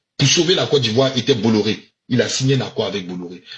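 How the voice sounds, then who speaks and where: A man is speaking. His voice carries vocal fry. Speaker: political commentator. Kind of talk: political commentary monologue. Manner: emphatic, repetitive.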